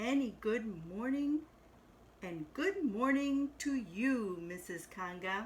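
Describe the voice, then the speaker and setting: Over clear background noise, a woman puts on a character voice with fairly high pitch at a very slow pace. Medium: read story.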